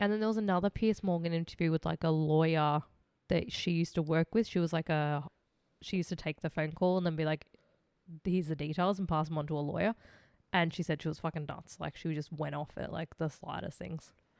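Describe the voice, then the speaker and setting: In an Australian accent, a woman speaks very fast with fairly even intonation, her voice dry and close with no echo on a very clean recording with a silent background. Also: fairly low pitch for a woman. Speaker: true crime podcast co-host. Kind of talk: casual chat.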